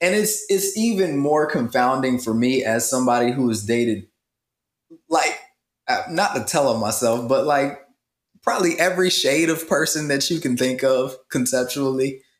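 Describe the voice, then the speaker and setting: A man with an American accent and a plain, everyday voice speaks at a fairly high pitch and a moderate pace, with very even loudness. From rural US Midwest and South. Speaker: podcast co-host. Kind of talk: casual chat.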